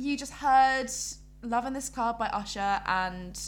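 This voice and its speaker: Her medium-pitched voice moves with lively intonation as the woman speaks. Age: 20s. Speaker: podcast co-host. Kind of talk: casual chat. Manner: animated.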